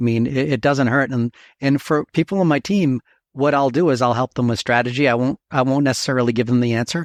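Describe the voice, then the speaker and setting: A man's medium-pitched voice, dry and close with no echo, against a quiet background. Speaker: medical device engineer. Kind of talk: podcast interview. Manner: fast.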